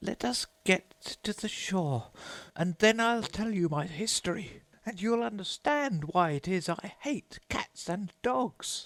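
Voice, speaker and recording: A man puts on a shaky, high-pitched character voice and speaks at a fairly slow pace. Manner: passionate, upset.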